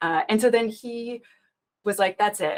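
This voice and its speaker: A woman speaks at a moderate pace with a Canadian accent. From Canada. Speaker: application security expert and public speaker. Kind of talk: interview. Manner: animated.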